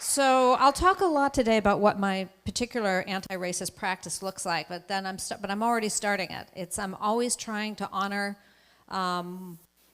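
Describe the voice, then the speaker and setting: This woman speaks with a New England accent at a medium pitch. Her pace is moderate and her pitch varies in an ordinary way. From Massachusetts. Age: 60s. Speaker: anti-racism speaker. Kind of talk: keynote talk. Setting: auditorium with audience.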